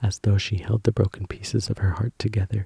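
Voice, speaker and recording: Whispering and soft-spoken, a man talks in a dry, close sound with no echo. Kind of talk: book reading, ASMR sleep story. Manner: soft-spoken, whispered.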